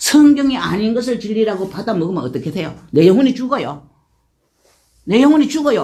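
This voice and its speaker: A woman with a fairly high pitch talks at a fairly quick pace, her dark, mellow tone carrying vocal fry. Her pitch swings very widely, and room echo is audible. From rural Korea. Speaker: church deaconess giving testimony. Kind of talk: testimony.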